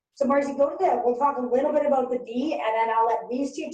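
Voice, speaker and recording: Room echo can be heard around this woman's voice. Her tone is animated. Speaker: workshop facilitator. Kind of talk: workshop presentation. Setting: webinar.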